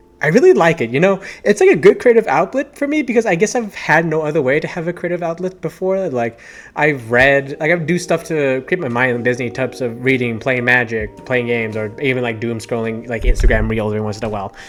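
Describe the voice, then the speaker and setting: Over music in the background, a man with a fairly high pitch rushes along at a very fast pace with lively intonation. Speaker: YouTuber, tabletop gaming channel. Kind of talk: casual vlog monologue. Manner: stumbling over words.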